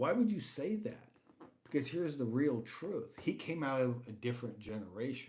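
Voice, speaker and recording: In an American accent, a man with a fairly high, somewhat breathy voice and a dark, mellow tone talks at a moderate pace with very wide pitch swings, and there is audible room echo. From United States. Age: 60s. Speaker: livestream host. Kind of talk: casual talk show monologue.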